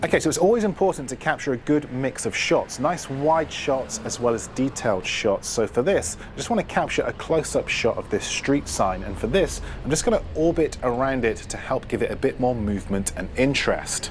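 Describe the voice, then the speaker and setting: With noticeable background noise, a man in a British accent talks at a fairly quick pace with hardly any pauses, his fairly high pitch moving through very wide swings. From UK. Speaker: filmmaking tutor, content creator. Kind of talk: tutorial. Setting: outdoors, city streets.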